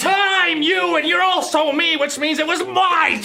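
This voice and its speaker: Over clear background noise, a man puts on a character voice at a moderate pace. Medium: comedy sketch. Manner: loud, excitable.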